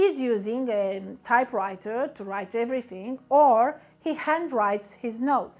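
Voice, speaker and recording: Her Romanian accent comes through as a woman speaks at a fairly slow pace. She has a fairly high pitch and lively intonation. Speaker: business coach. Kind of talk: motivational talk.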